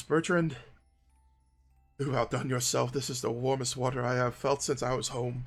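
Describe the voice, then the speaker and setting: A man uses a put-on character voice, raspy, at a medium pitch and a moderate pace. Faint music plays in the background. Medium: actual play.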